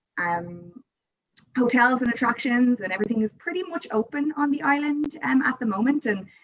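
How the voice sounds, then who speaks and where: A woman with an Irish accent. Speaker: tourism board representative. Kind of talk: interview.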